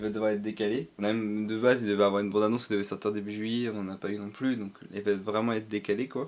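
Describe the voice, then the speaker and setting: Speech pours from a man at a very fast pace. It stays monotone and flat throughout. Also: fairly low pitch for a man. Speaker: streamer. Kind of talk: casual stream chat. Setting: livestream. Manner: halting, many fillers.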